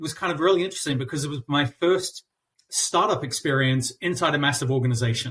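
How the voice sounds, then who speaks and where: A man in a New Zealand accent speaks in a somewhat breathy voice. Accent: New Zealand accent, noticeable. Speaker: customer experience consultant. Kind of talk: interview. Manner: halting, many fillers and repeats.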